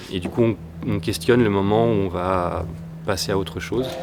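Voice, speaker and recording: This man's pitch is very deep and low, with fairly even intonation. There's audible room echo in the recording. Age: 40s. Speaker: trampoline acrobat. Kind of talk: interview about a stage creation. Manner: halting, with many fillers.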